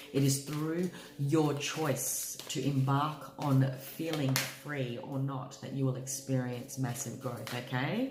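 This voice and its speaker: Amid noticeable background noise and audible room echo, a woman speaks very slowly in a very deep, low pitch, flat and monotone, with hardly any pauses. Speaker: tarot reader. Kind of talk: tarot reading monologue.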